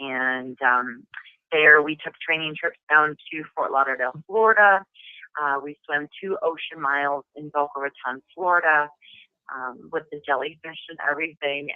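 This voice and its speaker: With a Midwestern accent, a woman speaks at a very deep, low pitch and a moderate pace, her loudness swinging widely. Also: ordinary pitch variation. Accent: Midwest. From US Midwest, Madison, Wisconsin. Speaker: actress. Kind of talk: interview.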